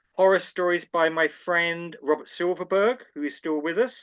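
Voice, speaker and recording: A man with a London accent speaks at a moderate pace in a high, bright, sharp voice with ordinary pitch variation over a quiet background. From London, England. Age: 70s. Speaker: anthologist and editor. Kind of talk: interview conversation.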